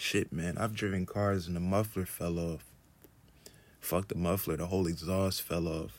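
In a very deep, low pitch, a man speaks with fairly even intonation. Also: moderate pace. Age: 30s. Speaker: podcast host, artist. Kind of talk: solo casual monologue. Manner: laid-back, chill.

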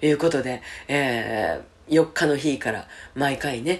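Speaking in a Kansai accent, a woman talks at a fairly slow pace with a very deep, low pitch. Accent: Kansai Japanese. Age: 50s. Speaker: radio host. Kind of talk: personal announcement.

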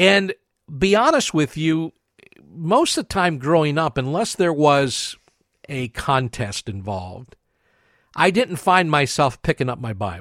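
A man's fairly high voice in an American accent, with very wide pitch swings, in a very clean, silent-background recording with a dry, close sound and no echo. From western Pennsylvania, US. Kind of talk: religious teaching monologue.

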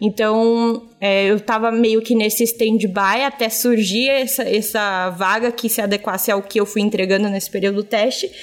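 Her fairly high-pitched voice holds a very even loudness with hardly any pauses, the woman recorded very cleanly against a silent background. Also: moderate pace. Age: 20s. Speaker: audiovisual content creator. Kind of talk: job interview-style podcast chat. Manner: animated.

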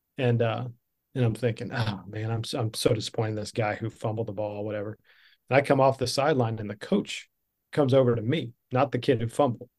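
On a very clean recording with a silent background, a man speaks very fast with a somewhat breathy voice and fairly even intonation. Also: medium pitch for a man. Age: 50s. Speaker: leadership speaker. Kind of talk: podcast interview storytelling.

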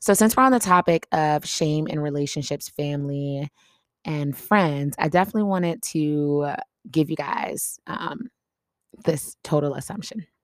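Animated in tone, the speaker uses lively intonation at a moderate pace, with a dry, close sound with no echo. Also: woman, very deep, low pitch for a woman. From US Midwest. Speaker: podcast host. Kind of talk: casual chat. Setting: home desk.

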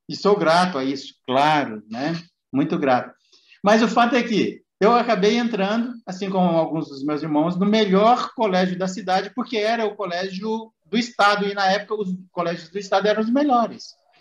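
With lively intonation, a man talks at a moderate pace in a high pitch. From Minas Gerais, Brazil. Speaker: podcast host. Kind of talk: casual chat.

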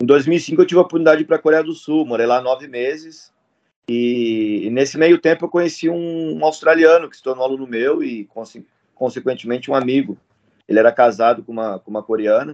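In a dry, close recording with no echo, a man with an ordinary speaking voice talks at a fairly quick pace with ordinary pitch variation. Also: medium pitch for a man. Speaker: MMA fighter and jiu-jitsu instructor. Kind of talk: casual chat.

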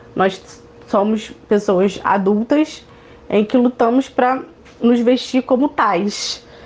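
A woman's fairly high voice with fairly even intonation over noticeable background noise. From Niterói, Rio de Janeiro, Brazil. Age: 20s. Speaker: activist and speaker. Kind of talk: interview.

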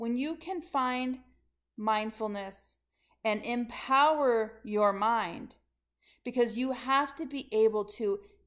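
A woman speaks in an animated tone with ordinary pitch variation on a very clean recording with a silent background. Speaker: leadership coach. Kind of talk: motivational monologue.

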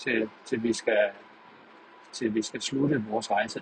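The speech comes at a fairly slow pace amid noticeable background noise. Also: man. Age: 30s. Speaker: podcaster. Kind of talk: monologue. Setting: in a car. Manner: halting. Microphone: poor sound quality.

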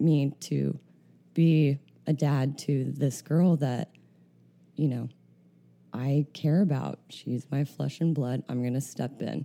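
A dark, mellow tone moves at a very slow pace with fairly even intonation. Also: woman. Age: 30s. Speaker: podcast host. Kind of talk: casual interview. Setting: studio.

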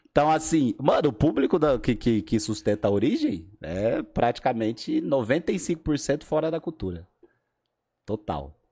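A man's fairly high voice with a dark, mellow tone and vocal fry, lively intonation, big swings in loudness and a fairly slow pace, over a quiet background. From Brazil, Alagoas. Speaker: breakdancer. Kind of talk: casual chat.

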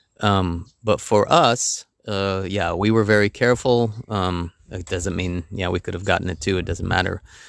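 A man with an American accent speaks at a moderate pace with fairly even intonation, recorded very cleanly against a silent background. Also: fairly low pitch for a man, hardly any pauses. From United States. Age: middle-aged. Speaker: podcast host. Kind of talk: casual chat. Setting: outdoors on a terrace. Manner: halting, many fillers.

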